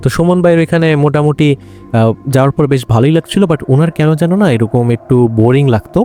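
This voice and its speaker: Music plays behind a man whose fairly high voice comes through dry and close with no echo, his loudness very even. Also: ordinary pitch variation. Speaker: horror story podcast host. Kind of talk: conversational horror story narration. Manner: casual, hesitant with fillers.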